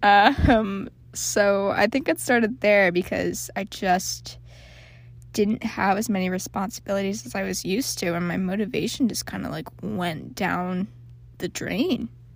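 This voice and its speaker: A woman talks fairly slowly, and the recording is very clean with a silent background. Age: 20s. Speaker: college student podcaster. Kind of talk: casual monologue. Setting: closet under a blanket. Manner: hesitant, with fillers and laughs.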